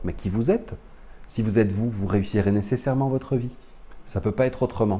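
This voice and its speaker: Speaking at a moderate pace and a medium pitch, a man sounds somewhat breathy, his tone dark and mellow. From France. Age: 40s. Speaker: spiritual teacher. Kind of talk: lecture.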